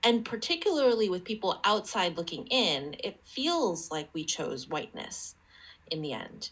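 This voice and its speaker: An American accent at a moderate pace, with very wide pitch swings. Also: woman, medium pitch for a woman. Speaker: podcast host. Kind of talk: casual conversation.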